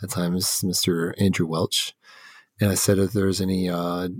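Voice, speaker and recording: A man with an American accent speaks in a very deep, low voice. The recording is very clean, with a silent background and a dry, close sound free of echo. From Texas (Houston and Dallas). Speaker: podcast host. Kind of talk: casual interview conversation.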